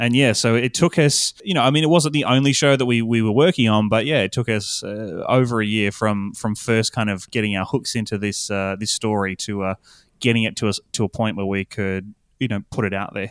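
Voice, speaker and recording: Medium in pitch with ordinary pitch variation, a man talks at a fairly quick pace. The very clean recording has a silent background and a dry, close sound with no echo. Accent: Australian. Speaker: podcast producer. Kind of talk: interview chat.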